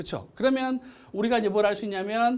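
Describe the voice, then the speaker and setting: Audible room echo surrounds a man who talks at a fairly quick pace. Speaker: math teacher. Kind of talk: lecture. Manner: fast.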